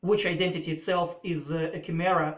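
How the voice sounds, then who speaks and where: In a Russian accent, a man with a high pitch talks at a fairly slow pace. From former Soviet Union. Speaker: political commentator. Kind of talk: opinion monologue. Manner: hesitant, many filler uhs.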